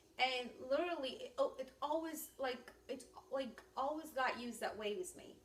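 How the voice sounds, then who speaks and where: Speaking at a moderate pace with a non-native accent, a woman with a high voice and ordinary pitch variation swings widely in loudness amid audible room echo. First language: not English. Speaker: ministry teacher. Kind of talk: instructional talk.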